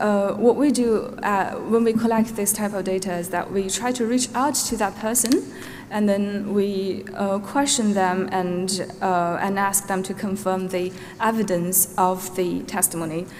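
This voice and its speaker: With a Xinjiang accent, the speaker keeps a fairly even intonation amid audible room echo and noticeable background noise. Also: woman, medium pitch for a woman, fairly slow pace. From Norway. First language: Uyghur. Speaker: witness, database researcher. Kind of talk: witness testimony. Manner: hesitant, many fillers.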